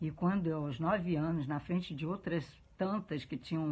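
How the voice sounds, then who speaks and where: A woman's very deep, low, somewhat breathy voice at a moderate pace, with ordinary pitch variation against a quiet background. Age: 70s. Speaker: interviewee. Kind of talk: testimony.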